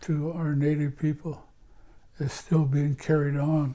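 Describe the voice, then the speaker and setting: A man with an American accent, somewhat breathy, fairly high in pitch, dark and mellow in tone, with monotone, flat intonation. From Washington State, US Pacific Northwest reservation. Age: 60s. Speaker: elder, former addictions counselor. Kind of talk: interview reminiscence. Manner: halting, with frequent repetitions; reflective.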